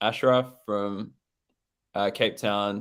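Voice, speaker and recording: At a very slow pace, a man talks with an Australian accent. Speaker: event host. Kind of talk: casual chat.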